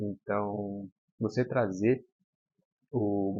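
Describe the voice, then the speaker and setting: A man speaks in a soft-spoken way. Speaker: football commentator youtuber. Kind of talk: casual commentary monologue. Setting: at home. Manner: soft-spoken, talking quietly.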